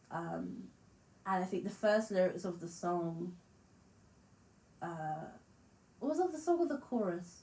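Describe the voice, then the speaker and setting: A woman's voice is dark and mellow in tone and somewhat breathy, with lively intonation. She speaks at a fairly slow pace with long, frequent pauses. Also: medium pitch for a woman. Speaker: musician and vlogger. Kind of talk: casual vlog monologue.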